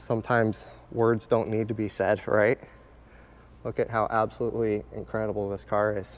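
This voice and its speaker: In a monotone, flat intonation, a man talks at a moderate pace and a fairly low pitch. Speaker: car restoration builder and channel host. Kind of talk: casual video tour.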